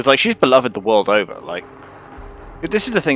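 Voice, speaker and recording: A man with an English accent talks at a very fast pace. Background noise is noticeable. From England. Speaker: game streamer. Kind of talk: casual live-stream commentary. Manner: casual, filler-heavy rambling speech.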